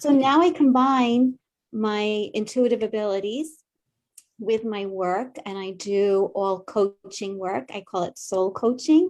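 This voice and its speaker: A woman speaks very slowly in a Long Island accent, her pitch fairly high. Her intonation is lively and her loudness swings widely. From Long Island, New York. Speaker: psychic medium and soul coach, former therapist. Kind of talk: casual interview chat. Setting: morning show interview.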